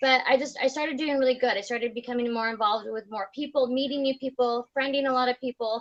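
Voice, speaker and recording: At a high pitch and a very fast pace, a woman talks with hardly any pauses and fairly even intonation. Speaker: fitness coach. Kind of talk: casual chat. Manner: halting.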